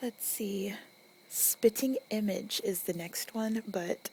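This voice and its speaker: A soft-spoken woman with an American accent. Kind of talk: ASMR accent tag, casual talk.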